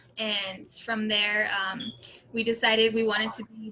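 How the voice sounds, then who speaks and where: Female speech at a moderate pace, with noticeable background noise around it. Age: 20s. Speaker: dancer and college student. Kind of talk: casual interview.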